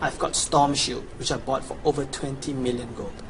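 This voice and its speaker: A man speaks with a Chinese accent. His pitch is fairly high. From China. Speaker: video game player / guide seller. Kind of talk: promotional gameplay walkthrough. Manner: casual, enthusiastic.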